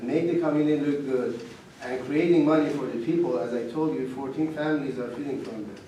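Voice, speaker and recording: A man with a fairly high pitch speaks with a strong non-native accent. Noticeable background noise and audible room echo are present. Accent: foreign accent, heavy. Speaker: salvage yard owner. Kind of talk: public meeting testimony. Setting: township meeting.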